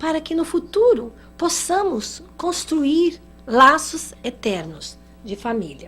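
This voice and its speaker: A woman speaks in a high pitch. Her voice moves in very wide pitch swings. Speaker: spiritist lecturer. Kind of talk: lecture.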